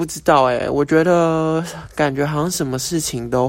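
An unremarkable speaking voice with fairly even intonation at a moderate pace, on a very clean recording with a silent background. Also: man. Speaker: podcast host. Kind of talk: casual monologue. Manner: casual, filler-heavy.

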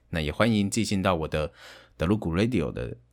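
Vocal fry runs through lively intonation in this very clean recording with a silent background. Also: man. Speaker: game streamer and aspiring voice actor. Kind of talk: casual monologue. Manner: halting, with fillers.

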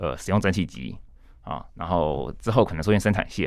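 Vocal fry in a man's very deep, low voice, carried by lively intonation. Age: young. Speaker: author and translator. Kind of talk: casual interview.

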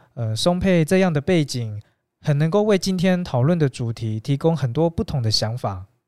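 A man with a plain, everyday voice, fairly high in pitch, with lively intonation and a moderate pace, on a very clean recording with a silent background. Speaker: podcast host. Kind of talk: interview. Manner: formal.

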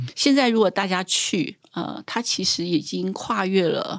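In a very clean recording with a silent background, a woman talks fairly slowly. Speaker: trail association director. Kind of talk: interview conversation.

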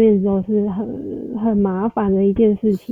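This is a woman speaking. Her pitch is medium. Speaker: salesperson. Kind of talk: casual interview.

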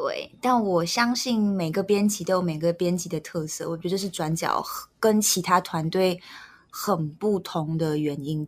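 At a fairly slow pace, a woman speaks with ordinary pitch variation in a very clean recording with a silent background. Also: medium pitch for a woman. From Malaysia. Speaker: news editor. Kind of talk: casual chat.

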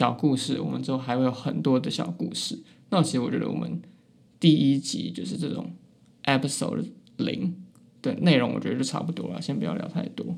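A man speaks with a Taiwanese accent. His pace is fairly quick. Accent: Taiwanese Mandarin. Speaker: university student podcaster. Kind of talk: casual chat. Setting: small room in a library. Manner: listless.

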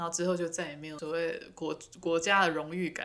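A woman's fairly low voice with a Taiwanese accent, at a moderate pace with monotone, flat intonation. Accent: Taiwanese Mandarin. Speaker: podcast co-host. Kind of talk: casual chat.

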